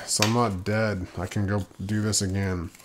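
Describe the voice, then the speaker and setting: A man's voice, fairly low in pitch. He speaks at a fairly slow pace. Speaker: poker vlogger. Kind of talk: casual vlog recap. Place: home room. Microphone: studio mic.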